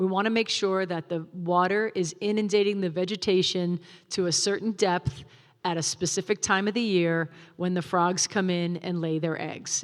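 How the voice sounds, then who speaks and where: A woman with a plain, everyday voice speaks at a moderate pace and medium pitch with fairly even intonation, on a very clean recording with a silent background. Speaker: wildlife agency field supervisor giving a talk. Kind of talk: public presentation with slides. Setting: stage with live audience, also streamed.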